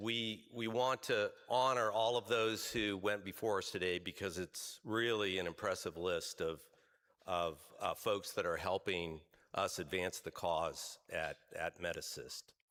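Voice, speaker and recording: The recording is very clean and the background silent. Delivery comes at a fairly slow pace. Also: man. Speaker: health insurance executive, award recipient. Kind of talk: award acceptance speech. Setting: stage at a luncheon event. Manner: loud; hesitant, many fillers.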